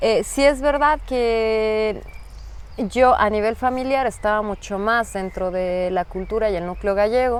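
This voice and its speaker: The woman speaks at a fairly high pitch with ordinary pitch variation. She has a strong Mexican accent. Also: fairly slow pace. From Mexico, Mexico City. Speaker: migrant interviewee. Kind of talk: interview.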